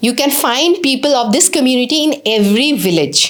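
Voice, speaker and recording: A woman with an Assamese accent at a moderate pace, with noticeable background noise. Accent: Assamese-accented Indian English. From Assam, India. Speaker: English teacher. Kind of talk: lecture.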